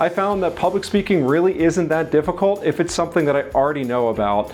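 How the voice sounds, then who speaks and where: With lively intonation, a man talks. Noticeable background noise can be heard. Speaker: real estate agent and content coach. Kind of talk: tutorial. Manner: occasional stumble over words.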